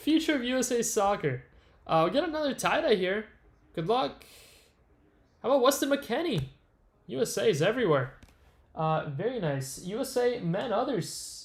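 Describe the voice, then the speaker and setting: Long pauses come often, at a moderate pace. The pitch swings very widely. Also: man, high pitch for a man. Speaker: card break livestream host. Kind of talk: live stream commentary while opening packs. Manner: casual, many filler uhs.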